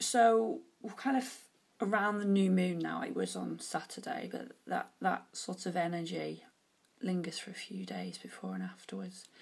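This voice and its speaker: A woman at a moderate pace in a British accent. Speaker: oracle card reader. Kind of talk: tarot-style card reading monologue. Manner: casual, hesitant with fillers.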